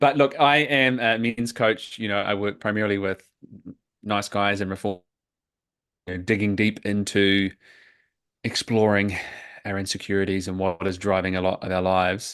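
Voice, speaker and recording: A man with a New Zealand accent speaks at a moderate pace in a fairly low voice, his fairly even intonation broken by long, frequent pauses against a quiet background. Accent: New Zealand accent, unchanged. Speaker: men's coach. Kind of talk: podcast interview.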